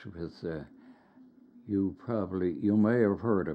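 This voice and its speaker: In a Newfoundland accent, a man talks with a very deep, low voice. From Burin Peninsula, Newfoundland. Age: 80s+. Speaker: retired teacher. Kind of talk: oral history interview answer.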